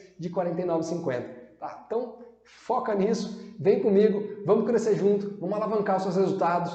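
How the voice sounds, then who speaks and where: Amid noticeable background noise and audible room echo, a man talks at a fairly quick pace in a high pitch. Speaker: sales trainer. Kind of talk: sales pitch. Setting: online class video.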